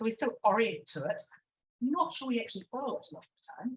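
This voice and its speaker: Somewhat breathy speech from a woman with a New Zealand accent, fairly quick, with ordinary pitch variation. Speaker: professor. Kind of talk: conference Q&A answer. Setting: lecture hall with audience.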